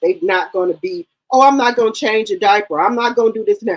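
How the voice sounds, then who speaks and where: A woman's fairly quick, lively-intoned speech in a dry, close sound with no echo. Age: 50s. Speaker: live stream host discussing reality TV gossip. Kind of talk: casual chat. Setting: live stream.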